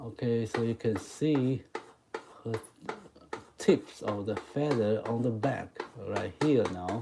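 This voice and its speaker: Speech comes at a very slow pace over noticeable background noise. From Taiwan. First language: Mandarin Chinese. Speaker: chalk art teacher. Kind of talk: live stream drawing tutorial. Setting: live stream. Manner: halting.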